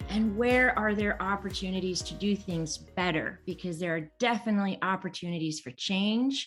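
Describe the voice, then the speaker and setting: A woman talks at a moderate pace with ordinary pitch variation while music plays in the background. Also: medium pitch for a woman, hardly any pauses. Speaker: show host. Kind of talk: podcast interview host.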